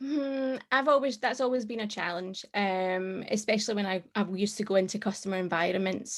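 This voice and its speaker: The woman's voice has a medium pitch and ordinary pitch variation. The background is quiet. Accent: Scottish. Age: 30s. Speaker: tech professional. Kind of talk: casual chat.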